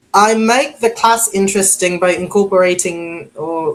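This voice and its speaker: A woman talks at a very slow pace. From Philippines. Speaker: online English teacher. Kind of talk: interview.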